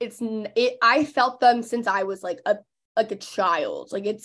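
Against a quiet background, a woman with an American accent talks at a moderate pace in a normal speaking voice, her pitch fairly high with ordinary variation. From Texas (McKinney, Dallas area). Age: 20s. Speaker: podcast host and influencer. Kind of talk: casual interview chat.

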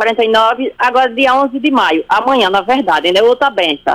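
This woman's voice is high-pitched. Her pace is moderate. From Sergipe, Brazil. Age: 40s. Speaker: radio listener caller. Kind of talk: testimony. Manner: halting.

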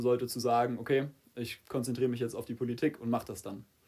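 Here a man talks at a fairly quick pace. His tone is dark and mellow, with a medium pitch. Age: 20s. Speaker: political candidate. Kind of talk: casual interview.

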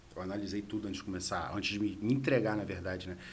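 A man with a fairly low, somewhat breathy voice talks with ordinary pitch variation. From Rio de Janeiro city, Brazil. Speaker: entrepreneur. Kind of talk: casual interview. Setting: studio.

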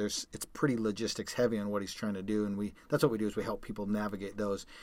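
A man speaks at a very fast pace. His pitch sits fairly low. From Calgary, Canada. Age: 40s. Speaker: podcast host, endurance athlete. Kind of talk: casual chat.

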